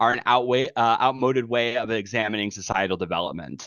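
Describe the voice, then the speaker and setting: Here a man talks at a fairly quick pace. His pitch is medium. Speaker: study group presenter. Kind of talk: lecture. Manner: fast; halting.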